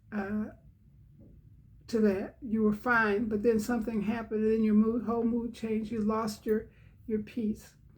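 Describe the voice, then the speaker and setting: The woman's voice is fairly high and somewhat breathy, with monotone, flat intonation. She keeps a moderate pace broken by long, frequent pauses. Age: 80s+. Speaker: devotional channel host. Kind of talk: devotional talk. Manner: halting.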